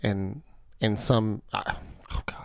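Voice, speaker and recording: A man's normal speaking voice at medium pitch, with ordinary pitch variation and a fairly slow pace, in a very clean recording over a silent background. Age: 30s. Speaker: podcast co-host. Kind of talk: casual chat.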